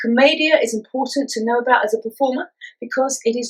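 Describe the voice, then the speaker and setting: A woman speaks at a very fast pace. Her pitch is high. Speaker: physical theatre instructor. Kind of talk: acting tutorial talk to camera. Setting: filmed at home.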